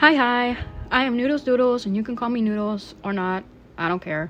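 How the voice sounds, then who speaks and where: A woman speaks in a shaky voice. Her pitch varies in an ordinary way. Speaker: art content creator. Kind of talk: scripted narration.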